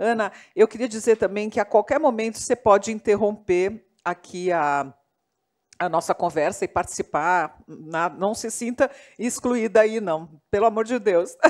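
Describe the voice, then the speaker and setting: An ordinary speaking voice moves at a fairly slow pace with ordinary pitch variation. The sound is dry and close, with no echo. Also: woman, medium pitch for a woman. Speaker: moderator, journalist. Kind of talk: panel discussion. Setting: live panel with online chat.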